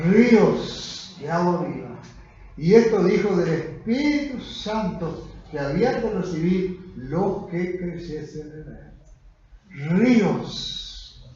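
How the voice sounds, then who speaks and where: Very slow delivery with lively intonation, big swings in loudness and noticeable background noise. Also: man. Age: 80s+. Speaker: pastor. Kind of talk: sermon. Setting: church.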